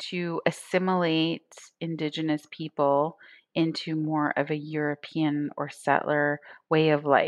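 A woman's fairly low voice at a fairly slow pace, dry and close with no echo, over a quiet background. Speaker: entrepreneur. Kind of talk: interview. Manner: halting.

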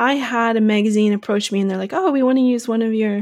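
A woman's unremarkable speaking voice at a fairly high pitch, with an American accent. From Long Island, New York. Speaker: photographer. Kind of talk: interview.

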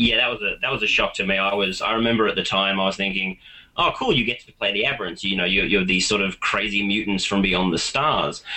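In an Australian accent, a man speaks at a very fast pace with a fairly low pitch. His pitch varies in an ordinary way, and there is noticeable background noise. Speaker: tabletop gaming enthusiast. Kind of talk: casual chat. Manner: halting.

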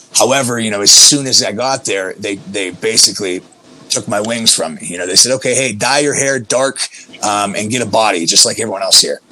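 Fairly quick pace from a man at a medium pitch, ordinary pitch variation, amid noticeable background noise. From Pennsylvania, US. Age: 30s. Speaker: professional wrestler. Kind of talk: casual interview.

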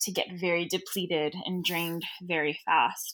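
In a Southern California accent, a woman speaks at a fairly low pitch. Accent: Southern California, Valley-girl tinge. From Los Angeles, Southern California. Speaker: yoga teacher and non-profit founder. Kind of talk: casual interview conversation.

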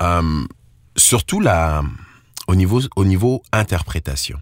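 A man speaks at a fairly slow pace. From Ivory Coast. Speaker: slam and soul musician. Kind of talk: interview.

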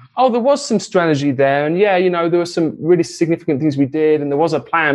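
A man with an English accent. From England. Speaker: real estate investor, former musician. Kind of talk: interview.

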